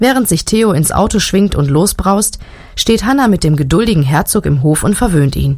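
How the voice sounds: Here is a natural reading voice. The intonation is lively.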